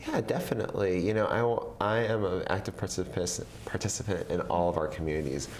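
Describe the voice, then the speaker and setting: Talking at a very fast pace with hardly any pauses, a man with a very deep, low pitch and ordinary pitch variation is heard over noticeable background noise and audible room echo. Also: very even loudness. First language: Vietnamese. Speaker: government official. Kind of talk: interview. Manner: frequent fillers and restarts.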